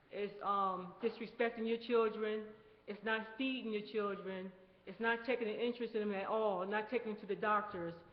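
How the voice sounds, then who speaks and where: Over noticeable background noise, a woman talks in a monotone, flat intonation at a fairly high pitch. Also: moderate pace. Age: 60s. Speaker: community committee chair. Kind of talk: committee report at community meeting.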